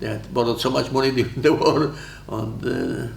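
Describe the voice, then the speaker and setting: Man at a moderate pace, with audible room echo and noticeable background noise. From Poland. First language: Polish. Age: 90s. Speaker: war veteran. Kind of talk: interview. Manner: halting.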